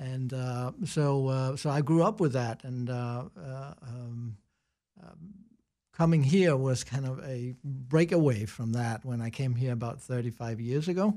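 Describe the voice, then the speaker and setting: A man's dark, mellow voice at a medium pitch with a Danish accent, fairly slow, with ordinary pitch variation on a very clean recording with a silent background. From Denmark. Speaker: business consultant and professor. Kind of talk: casual interview chat.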